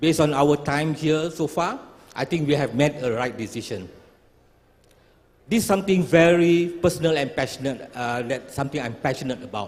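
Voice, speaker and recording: This man has an unremarkable speaking voice, fairly high in pitch, with ordinary pitch variation and a moderate pace. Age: 60s. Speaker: startup founder. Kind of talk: pitch presentation.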